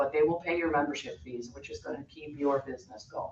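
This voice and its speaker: Noticeable background noise sits behind a woman whose pitch is very deep and low. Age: 60s. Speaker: massage therapist and yoga instructor. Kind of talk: public comment at board meeting. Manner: unscripted, spontaneous.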